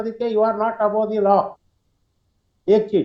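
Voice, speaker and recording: A man's high voice at a moderate pace, flat and monotone in intonation. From Karnataka, India (Gulbarga). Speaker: RTI activist participant. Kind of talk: panel discussion contribution. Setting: video call webinar. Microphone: too quiet.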